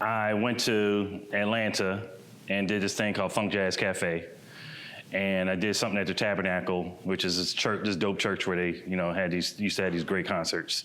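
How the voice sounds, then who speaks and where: Fairly low in pitch, a man talks at a fairly quick pace in an American accent. His intonation is monotone and flat, and audible room echo surrounds the voice. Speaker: painter and muralist. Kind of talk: presentation talk. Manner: loud; casual, conversational.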